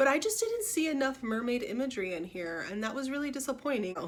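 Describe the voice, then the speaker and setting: A woman at a very fast pace with lively intonation. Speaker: book vlogger. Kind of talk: casual book review vlog.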